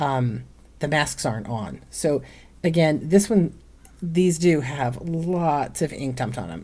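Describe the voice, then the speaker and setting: A woman's dark, mellow tone with lively intonation and vocal fry. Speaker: online reseller and vlogger. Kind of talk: casual haul video. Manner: chatty, many fillers.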